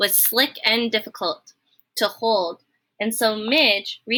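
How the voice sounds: The clip features a natural reading voice. Behind it, the background stays quiet.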